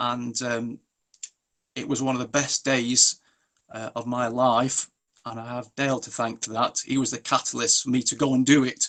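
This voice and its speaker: A man's medium-pitched voice stays monotone and flat in intonation at a moderate pace. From England. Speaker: mourner at a memorial. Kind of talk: eulogy. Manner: halting.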